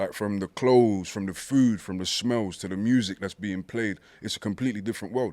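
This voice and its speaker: A man with a British accent speaks at a fairly quick pace in a fairly low voice. His intonation is fairly even, and the recording is very clean with a silent background. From East London, Hackney. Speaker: poet and rapper. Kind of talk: casual chat.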